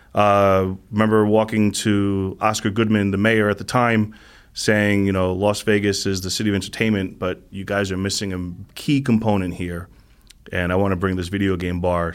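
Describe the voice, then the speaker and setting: The intonation is monotone and flat at a moderate pace, captured in a very clean recording with a silent background. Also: man. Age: 40s. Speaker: esports community organizer. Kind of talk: interview.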